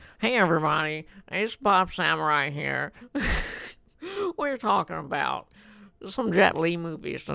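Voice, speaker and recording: A put-on character voice at a middle pitch, nasal in tone, moving at a moderate pace with long, frequent pauses. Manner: cheery YouTuber greeting.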